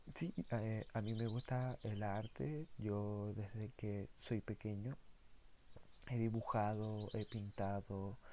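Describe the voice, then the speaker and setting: Very slowly and with fairly even intonation, a man with a Chilean accent speaks in a fairly low, dark, mellow tone on a very clean recording with a silent background. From southern Chile. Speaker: philosophy YouTuber. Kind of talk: casual monologue. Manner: halting, many fillers.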